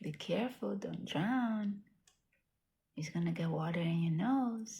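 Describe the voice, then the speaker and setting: Soft-spoken and dark, mellow in tone, a woman talks at a fairly low pitch with lively intonation. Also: fairly slow pace. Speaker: pet owner reviewing a product. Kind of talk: casual talk to pet while demonstrating. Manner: talking low, soft-spoken.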